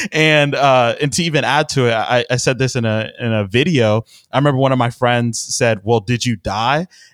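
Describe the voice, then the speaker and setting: A man with an American accent has a plain, everyday voice at a medium pitch, speaking at a moderate pace with ordinary pitch variation, very even loudness and hardly any pauses. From Texas, Houston. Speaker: financial planner. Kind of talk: interview. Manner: frequent laughs, repeats words.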